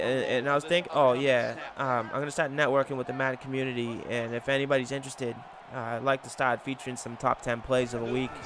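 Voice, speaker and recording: A man talks at a fairly quick pace with monotone, flat intonation and a medium pitch. Noticeable background noise runs behind him. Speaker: gaming youtuber. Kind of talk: gameplay commentary. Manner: halting.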